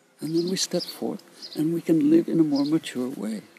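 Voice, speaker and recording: Noticeable background noise sits behind a man with a fairly high pitch and a calm tone. His pitch swings very widely while he talks at a fairly slow pace. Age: 80s+. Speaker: psychologist and founder of an imagery therapy method. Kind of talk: interview. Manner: calm, reflective.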